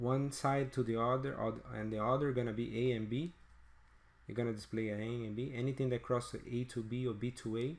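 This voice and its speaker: Speaking at a fairly quick pace, a man keeps his medium-pitched voice in fairly even intonation. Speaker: product tutorial presenter. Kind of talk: tutorial. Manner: halting, many repeated words.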